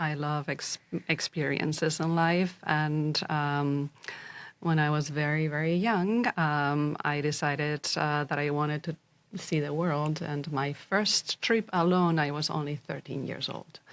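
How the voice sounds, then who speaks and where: Fairly even intonation at a very slow pace, with a Spanish accent, in a very clean recording with a silent background. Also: woman. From Spain, Zaragoza. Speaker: executive and fractional CEO. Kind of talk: podcast interview. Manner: hesitant, many fillers.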